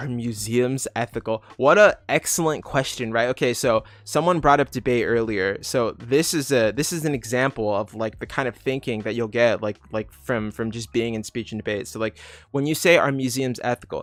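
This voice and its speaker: In an unremarkable speaking voice, a man talks at a medium pitch and moderate pace, with ordinary pitch variation and hardly any pauses. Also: dry, close sound with no echo. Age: 30s. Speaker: youtuber answering viewer questions. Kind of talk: livestream Q&A. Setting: livestream from home. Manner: casual, filler-heavy. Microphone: laptop setup, unsure of sound.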